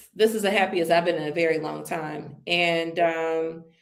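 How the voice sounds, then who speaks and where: Someone with an American accent talks at a fairly slow pace, with audible room echo. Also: woman. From United States. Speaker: interview guest, travel entrepreneur. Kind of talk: casual interview. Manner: emphatic, animated.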